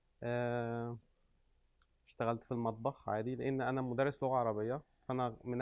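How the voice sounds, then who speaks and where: Pitched in a medium range, a man delivers his words with a monotone, flat intonation. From Egypt. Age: 30s. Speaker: restaurant owner, immigrant. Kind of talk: interview. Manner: hesitant with many fillers.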